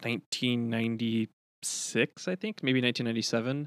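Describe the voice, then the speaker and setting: A man with an unremarkable speaking voice talks at a medium pitch and moderate pace with fairly even intonation, in a very clean recording with a silent background and a dry, close sound with no echo. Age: 30s. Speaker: video game streamer. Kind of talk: casual chat.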